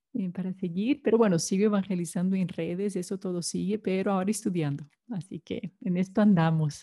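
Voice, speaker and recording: In a Brazilian accent, a woman with a medium pitch and a dark, mellow tone speaks at a moderate pace with ordinary pitch variation, somewhat breathy, in a dry, close sound with no echo and a very clean recording with a silent background. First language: Portuguese (speaking Spanish). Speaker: consecrated laywoman. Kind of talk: testimony.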